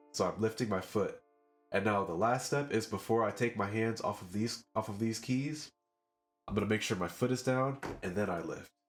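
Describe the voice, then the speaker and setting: Over music in the background, a man with a fairly low pitch talks at a moderate pace. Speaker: music producer and piano teacher. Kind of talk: tutorial talk to camera.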